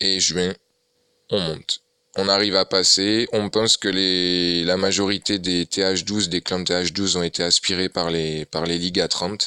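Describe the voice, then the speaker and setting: A man's very deep, low voice has a bright, sharp tone. The intonation is monotone and flat, and the sound is dry and close, with no echo. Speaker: gaming youtuber. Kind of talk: gameplay commentary. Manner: hesitant, many fillers.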